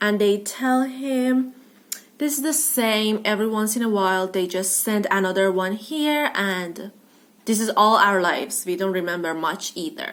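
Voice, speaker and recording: A woman's fairly high voice with lively intonation at a moderate pace, amid noticeable background noise. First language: non-English. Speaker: book vlogger. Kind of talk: casual book review vlog. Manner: hesitant, many fillers.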